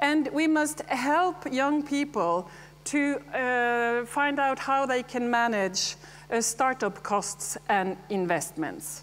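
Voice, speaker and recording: A woman with a Scandinavian accent speaks at a very slow pace. Her pitch is high and her intonation lively. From Norway. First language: Norwegian. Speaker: dairy farmer and farmers' association president. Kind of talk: conference speech.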